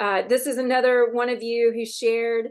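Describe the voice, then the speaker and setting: With the background quiet, a woman is talking. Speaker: campaign volunteer organizer hosting online meetup. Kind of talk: online community meeting update. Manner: fast.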